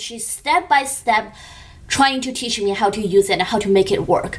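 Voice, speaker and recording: This speaker has a Chinese accent. The intonation is lively. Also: woman. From China. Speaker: beauty youtuber. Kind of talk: vlog. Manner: animated.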